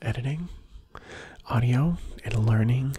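A man whispers quietly in a soothing tone at a very slow pace. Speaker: ASMR creator. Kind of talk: ASMR whisper, close-mic, sleep-inducing. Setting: video, close to microphone. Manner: whispery, hushed, slow, soothing; repetitive, lulling, intimate. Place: home room. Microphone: studio mic.

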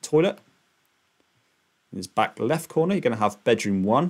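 With a quiet background, a man delivers his words at a moderate pace. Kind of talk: narrated screen-share walkthrough. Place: home room. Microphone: webcam.

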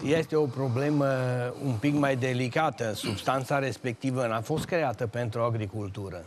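A man talks with ordinary pitch variation, and noticeable background noise can be heard. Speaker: retired agronomist engineer. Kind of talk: TV talk show discussion. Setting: TV studio. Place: studio.

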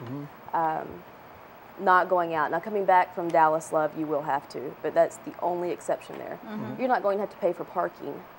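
A woman's fairly low-pitched, ordinary speaking voice at a moderate pace, with light background noise. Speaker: guest. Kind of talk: interview answer. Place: studio. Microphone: lapel.

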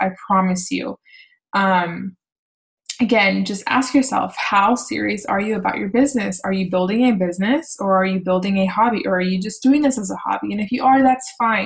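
A woman speaks at medium pitch and a moderate pace, somewhat breathy, with ordinary pitch variation. The background is quiet. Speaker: fitness coach leading team call; team coach leading a call. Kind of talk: team call presentation. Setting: online video call. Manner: casual, filler-heavy. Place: home room. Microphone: webcam.

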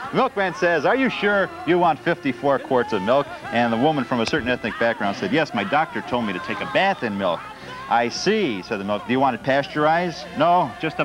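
A man talks fairly quickly while music sounds clearly behind him. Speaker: TV show co-host. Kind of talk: comedic joke reading. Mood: playful, laughing. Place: studio. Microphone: lapel.

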